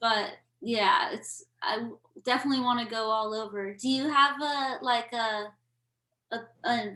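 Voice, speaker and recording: A woman with a bright, sharp tone and fairly high pitch talks fairly slowly, keeping her intonation fairly even. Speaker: musician and podcast host. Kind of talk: casual chat. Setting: video call.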